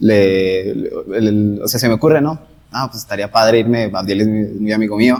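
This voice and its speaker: Dark and mellow, this man's voice sits fairly low. His pitch varies in an ordinary way. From northern Mexico, Gómez Palacio. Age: 20s. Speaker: medical interpreter. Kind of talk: casual chat.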